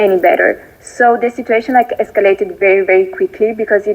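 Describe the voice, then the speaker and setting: This woman speaks in an Italian accent. Noticeable background noise sits behind her. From Italy. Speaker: viewer sharing a success story. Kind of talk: recorded voice note testimony. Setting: voice note played from laptop. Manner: halting, many fillers. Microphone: voice note played through laptop, may be quiet.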